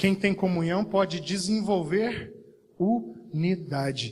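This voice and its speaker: A man with a high pitch speaks at a very slow pace, with audible room echo around him. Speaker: pastor. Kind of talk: sermon. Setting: church service.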